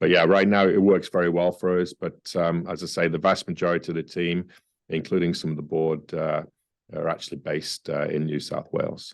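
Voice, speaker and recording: A man with a very deep, low pitch talks at a fairly quick pace in a monotone, flat way. The background is quiet. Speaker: mining company CEO. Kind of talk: interview. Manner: hesitant, many fillers.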